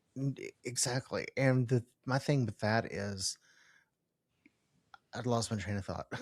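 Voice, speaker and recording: A man at medium pitch speaks fairly slowly, somewhat breathy, with fairly even intonation. Long, frequent pauses break up his speech, and the sound is dry and close with no echo. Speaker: podcast host. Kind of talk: interview. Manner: halting, trips over words.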